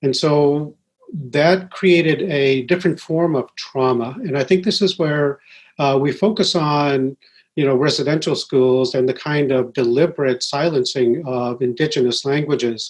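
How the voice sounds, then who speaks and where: This man has a New Brunswick accent. His voice sits fairly high in pitch. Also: ordinary pitch variation, moderate pace. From Wolastoqey reserve, New Brunswick, Canada, schooled in US. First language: Wolastoqey. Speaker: professor. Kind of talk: panel conversation. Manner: measured with frequent uh.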